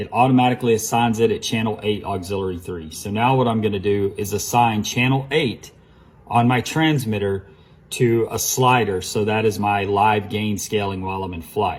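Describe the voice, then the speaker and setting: A man speaks in a fairly low, somewhat breathy voice. His pitch varies in an ordinary way. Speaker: RC hobby shop staff. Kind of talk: tutorial. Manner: fast; casual, with fillers.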